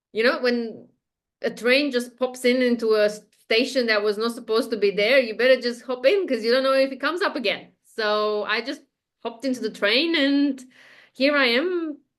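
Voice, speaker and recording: A woman talks at a moderate pace with a Romanian accent. Her voice is high, with ordinary pitch variation. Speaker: spiritual guide, podcast guest. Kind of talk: interview, casual chat. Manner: hesitant, many fillers.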